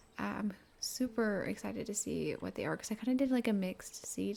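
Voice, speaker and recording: Soft-spoken and fairly high in pitch, a woman talks at a moderate pace. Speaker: gaming content creator. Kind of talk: casual chat.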